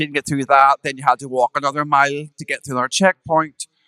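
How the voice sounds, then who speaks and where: A very fast, bright, sharp voice with a Northern Irish accent in a dry, close sound with no echo. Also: man. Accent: Northern Irish, Ards. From Northern Ireland, Ballywalter, County Down. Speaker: drag performer. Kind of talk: storytelling on a live podcast. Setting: stage with audience.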